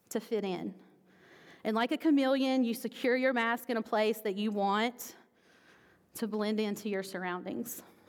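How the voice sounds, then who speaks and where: In a very clean recording with a silent background, a woman speaks at a fairly high pitch with ordinary pitch variation and long, frequent pauses. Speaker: pastor. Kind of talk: sermon. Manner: loud.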